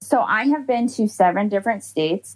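A woman speaks at a moderate pace with lively intonation in an unremarkable speaking voice. The sound is dry and close, with no echo. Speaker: ER travel nurse. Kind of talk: interview.

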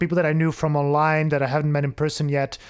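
The speaker has a Flemish accent. The pace is fairly quick. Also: man. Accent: Belgian (Flemish) accent in English. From Belgium. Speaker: software developer and programming educator. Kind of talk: casual interview conversation.

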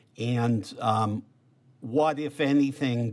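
A man at a medium pitch, in a Boston accent. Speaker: political journalist and podcast co-host. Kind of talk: interview. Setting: video call.

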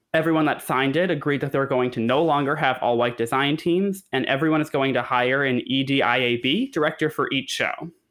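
Here is a man with a normal speaking voice, fairly high in pitch and ordinary in its pitch variation. He keeps a moderate pace, and the recording is very clean with a silent background. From Connecticut. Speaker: theater news podcast co-host. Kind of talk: casual chat.

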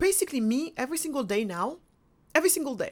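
In a very clean recording with a silent background, a woman speaks with very wide pitch swings. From Senegal. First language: Wolof or French (English is fourth language). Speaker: author and entrepreneur. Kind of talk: interview.

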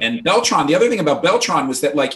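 Here is a man with an American accent. His voice carries vocal fry. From New York, Peekskill. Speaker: author. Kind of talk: casual chat.

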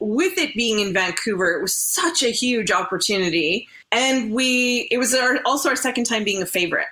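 Speaking in a normal speaking voice with a Canadian accent, a woman keeps a moderate pace and lively intonation. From Canada. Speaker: curler turned broadcaster. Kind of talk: casual interview.

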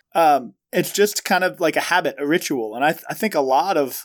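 The speaker has an American accent and talks at a fairly quick pace. The recording is very clean, with a silent background. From Cincinnati, Ohio. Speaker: pastor and podcast co-host. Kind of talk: casual banter chat.

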